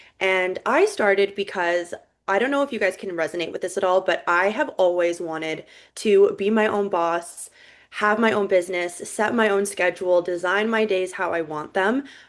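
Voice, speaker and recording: A woman with a Canadian accent talks at a moderate pace at medium pitch, with ordinary pitch variation, in a plain, everyday voice against a quiet background. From Vancouver, Canada. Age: 20s. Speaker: network marketing business owner. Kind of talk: sales pitch with personal testimony.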